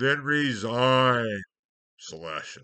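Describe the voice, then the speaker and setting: In a booming, put-on character voice, a man speaks at a medium pitch with lively intonation. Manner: commanding, majestic.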